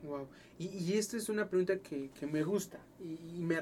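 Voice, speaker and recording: Noticeable noise surrounds a man whose voice sits fairly high. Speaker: podcast host. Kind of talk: casual interview.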